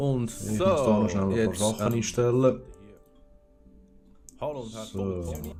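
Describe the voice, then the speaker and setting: A man with a fairly low pitch and lively intonation, pausing long and often, over music in the background. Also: moderate pace. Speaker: gaming streamer. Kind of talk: casual let's play commentary.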